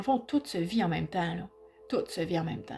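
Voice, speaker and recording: With music in the background, a woman speaks in a Quebec accent. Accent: Québécois French. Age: 50s. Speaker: aspiring hypnotherapist and personal growth vlogger. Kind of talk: personal reflective vlog. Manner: halting, with repetitions; spontaneous, informal.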